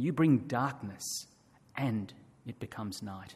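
This man's voice is somewhat breathy and medium in pitch, with ordinary pitch variation. His pace is very slow. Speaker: scripture reader. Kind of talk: reading aloud. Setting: church.

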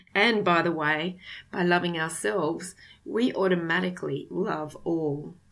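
Vocal fry marks a woman's fairly low voice. She speaks at a fairly slow pace with ordinary pitch variation. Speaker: podcast host. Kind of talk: spiritual self-help talk.

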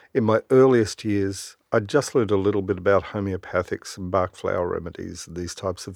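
With an Australian accent, a man talks at a fairly quick pace and a fairly low pitch. His intonation is fairly even, on a very clean recording with a silent background. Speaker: doctor. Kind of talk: interview. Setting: studio.

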